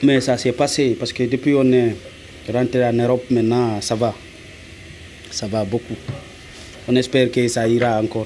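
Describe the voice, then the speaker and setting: Amid noticeable background noise, a man speaks at a moderate pace with monotone, flat intonation and long, frequent pauses. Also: medium pitch for a man. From Guinea. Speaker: asylum seeker. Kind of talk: interview. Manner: halting.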